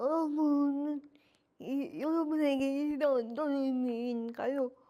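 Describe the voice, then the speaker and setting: Very slow in pace, a woman speaks with a high pitch and a dark, mellow tone. Her intonation stays fairly even. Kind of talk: lecture presentation. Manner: partly delivered through AAC device voice.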